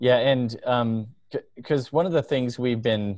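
Recorded in a dry sound with no echo and a quiet background, a plain, everyday voice moves at a moderate pace with ordinary pitch variation. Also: man. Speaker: software engineer. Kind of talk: team meeting on a video call. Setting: video call. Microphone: video call.

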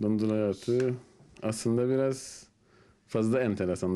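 Very slowly, a man speaks in a Turkish Cypriot accent. His pitch is fairly low and his tone dark and mellow. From Northern Cyprus, Famagusta; Northern Cyprus. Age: 30s. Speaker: construction worker; interviewee. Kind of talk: interview. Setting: at home. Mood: relaxed, smiling. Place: home room. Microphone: handheld.

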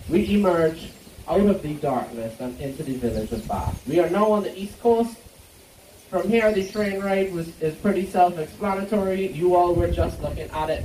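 A man speaks with audible room echo. Light background noise is present. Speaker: tour guide. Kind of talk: tour guide commentary. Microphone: pa.

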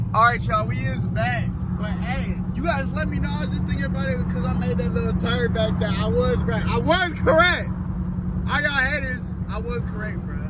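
A man at a fairly quick pace, dry sound with no echo, loud background noise. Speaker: car vlogger. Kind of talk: casual vlog chat. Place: car. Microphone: phone near.

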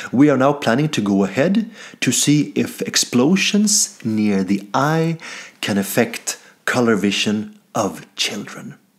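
A man with a Swedish accent at a fairly slow pace, with very wide pitch swings, against a quiet background. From Sweden. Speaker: comedian. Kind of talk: mock scientific presentation. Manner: formal. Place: home room. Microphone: webcam.

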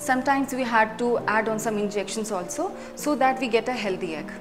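The woman's pitch varies in an ordinary way as she talks at a moderate pace, music playing in the background. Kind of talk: medical explainer. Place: office. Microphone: lapel.

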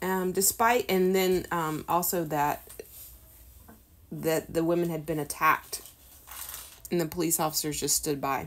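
The voice moves at a fairly slow pace with long, frequent pauses. Its intonation is fairly even. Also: woman, fairly low pitch for a woman. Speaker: homeschool teacher reading a lesson. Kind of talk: reading a history textbook aloud with explanations.

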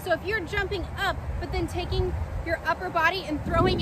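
A woman talks at a moderate pace over loud background noise, in a dry sound with no echo. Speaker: cheer instructor. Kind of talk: tutorial. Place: open country. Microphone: camera far.

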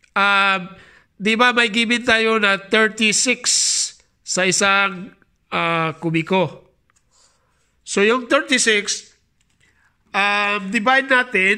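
Raised and projected, a man's high-pitched voice with a Visayan accent and a bright, sharp tone moves very slowly at very even loudness, broken by long, frequent pauses. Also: very clean recording, silent background. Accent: Bisaya-accented Tagalog. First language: Bisaya (speaking Tagalog). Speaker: mason and YouTuber. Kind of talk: tutorial. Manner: halting.

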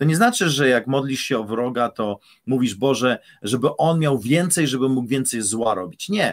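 A man's medium-pitched voice at a moderate pace, with ordinary pitch variation against a quiet background. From Poland. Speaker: pastor. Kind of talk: casual chat; sermon. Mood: earnest, engaged. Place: home room. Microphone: studio mic.

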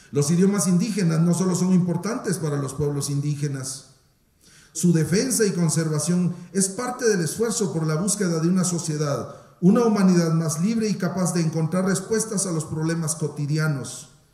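Audible room echo surrounds a man speaking at a moderate pace in a high pitch, with ordinary pitch variation. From Guatemala. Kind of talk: formal speech. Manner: formal. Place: hall. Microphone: podium.

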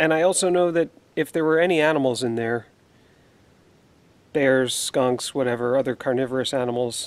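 A man talks at a fairly slow pace with ordinary pitch variation. The sound is dry, with no echo. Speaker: outdoor explorer vlogger. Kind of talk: casual vlog chat. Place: forest. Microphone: phone near.

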